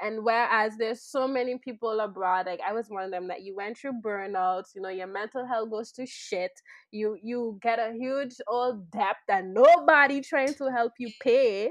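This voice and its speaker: With a Sint Maarten accent, a woman talks at a moderate pace in a fairly high pitch, with ordinary pitch variation and hardly any pauses. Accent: Sint Maarten Caribbean English. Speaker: podcast guest, social venture co-founder. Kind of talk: casual chat.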